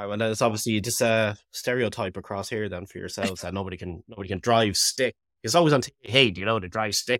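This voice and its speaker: A man with an Irish accent talks very fast at a fairly low pitch, with ordinary pitch variation and big swings in loudness. The sound is dry and close, with no echo. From Ireland. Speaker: podcaster and musician. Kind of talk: casual podcast conversation. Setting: remote call.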